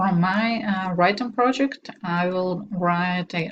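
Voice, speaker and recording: Speaking very slowly with a Russian accent, a woman uses a fairly low, somewhat breathy voice with ordinary pitch variation. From Belarus. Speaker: doctoral student. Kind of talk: self-introduction. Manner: hesitant, with filler sounds.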